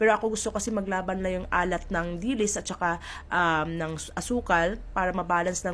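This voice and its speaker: A woman speaks with a strong Visayan accent at medium pitch. Her intonation is fairly even, with hardly any pauses. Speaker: cooking vlogger. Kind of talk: cooking tutorial. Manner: chatty, playful.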